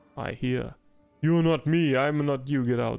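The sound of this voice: A man does a put-on robotic character voice at a medium pitch and moderate pace. Faint music plays in the background.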